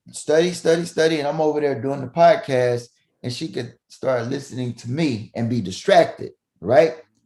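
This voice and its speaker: A man with a Southern US accent speaks in an animated tone at a moderate pace. His pitch is fairly high, with ordinary pitch variation. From Mississippi, US South. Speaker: family physician. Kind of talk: podcast interview. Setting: remote call from home upstairs room. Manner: loud.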